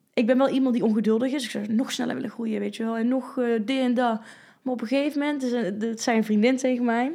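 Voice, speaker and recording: Here a woman speaks with a high pitch. Her pace is very fast. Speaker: fitness coach and former bodybuilder. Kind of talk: casual chat. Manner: animated.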